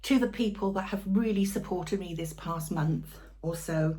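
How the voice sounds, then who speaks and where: Loud and at a fairly slow pace, a woman with a British accent speaks over audible room echo. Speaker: cooking channel host. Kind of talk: casual cooking vlog talk to camera. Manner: soft-spoken; trying to speak loudly.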